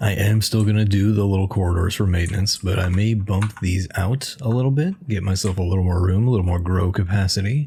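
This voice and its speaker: A man with a fairly low pitch talks at a fairly quick pace with hardly any pauses. His somewhat breathy voice has a dark, mellow tone and very even loudness. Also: fairly even intonation. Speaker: gamer, video creator. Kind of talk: casual gameplay commentary.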